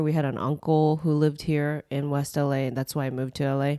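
With a Japanese accent, a woman talks at a moderate pace in a very deep, low pitch, recorded very cleanly against a silent background. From Japan, then raised in Los Angeles. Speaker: comedian. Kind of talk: casual chat.

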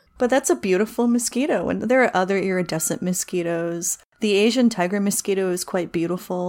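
In an American accent, a woman speaks at a fairly quick pace in an animated tone, medium in pitch with ordinary pitch variation. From US Northeast, New Jersey (pine barrens). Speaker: entomologist, doctoral researcher. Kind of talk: casual interview chat. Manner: animated, frequent laughter.

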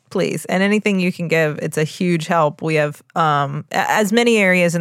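Talking at a fairly quick pace, a woman with a very deep, low pitch comes through on a very clean recording against a silent background. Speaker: physician and podcast co-host. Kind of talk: casual chat.

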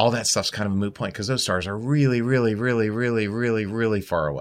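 A man with an American accent and a normal speaking voice, medium pitch and ordinary pitch variation, on a very clean recording with a silent background. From Baltimore, US. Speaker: astronaut. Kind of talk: interview.

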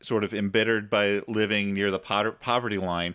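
Heard in a very clean recording with a silent background, the speaker has an American accent and monotone, flat intonation. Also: man. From small-town US. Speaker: comedy podcast host. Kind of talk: casual chat.

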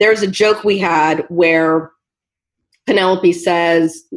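A woman with an American accent speaks in a plain, everyday voice. Her pitch is medium, with ordinary pitch variation. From US Pacific Northwest. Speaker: TV writer and showrunner. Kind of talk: interview.

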